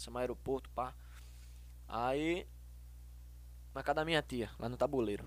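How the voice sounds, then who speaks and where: The speaker is a man with a fairly quick pace. He leaves long, frequent pauses. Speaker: singer and hairdresser. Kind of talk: casual chat.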